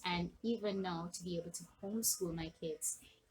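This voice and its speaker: A woman speaks with a Jamaican accent at a fairly slow pace. Her voice is fairly low and somewhat breathy. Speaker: online business coach. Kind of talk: motivational talk to camera. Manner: animated.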